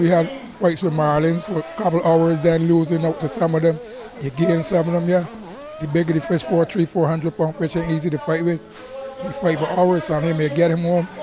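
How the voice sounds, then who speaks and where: With a Barbadian accent, a man speaks fairly quickly at a high pitch and with fairly even intonation, against noticeable background noise. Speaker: fisherman. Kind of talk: interview answer.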